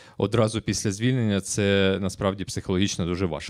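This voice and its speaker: A man with a Ukrainian accent speaks at a fairly low pitch. The recording is very clean with a silent background and a dry, close sound with no echo. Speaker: writer and former prisoner. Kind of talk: panel interview.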